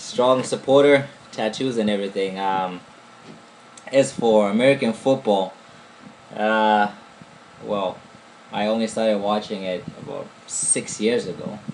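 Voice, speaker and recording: Using long, frequent pauses, a man with an African accent and fairly low pitch speaks at a fairly slow pace with ordinary pitch variation. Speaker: podcast co-host. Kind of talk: casual chat.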